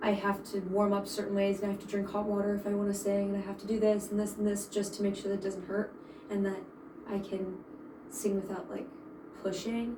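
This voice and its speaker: At a fairly quick pace, a woman talks at a medium pitch, with audible room echo and noticeable background noise. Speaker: voice student. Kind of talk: voice lesson. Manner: halting.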